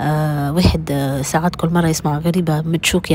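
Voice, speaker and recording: Over noticeable background noise, a woman talks at a moderate pace in a very deep, low voice with ordinary pitch variation. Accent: Tunisian. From Tunisia. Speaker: vlogger. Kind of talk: casual vlog talk to viewers. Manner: halting, many fillers.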